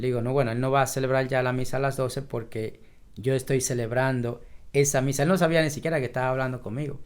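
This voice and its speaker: Very fast speech from a man at medium pitch. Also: fairly even intonation. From Dominican Republic, southwest, raised in a sugar batey. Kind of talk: interview. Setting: office.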